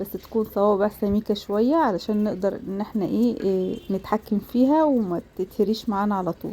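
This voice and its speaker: Speaking in an ordinary speaking voice, a woman talks at a moderate pace and a fairly high pitch with ordinary pitch variation. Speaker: cooking channel host. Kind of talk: cooking tutorial. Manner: casual, many fillers.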